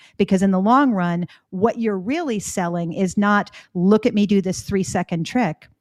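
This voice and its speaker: A woman with a slight Canadian accent talks at a moderate pace. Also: medium pitch for a woman, ordinary pitch variation. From Florida, US with Canadian summers. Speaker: editor and author. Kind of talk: podcast interview.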